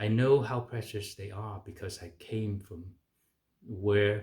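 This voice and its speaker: Somewhat breathy, fairly slow speech in a Chinese accent. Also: man. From China. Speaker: physician. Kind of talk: political advocacy talk. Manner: hesitant with fillers.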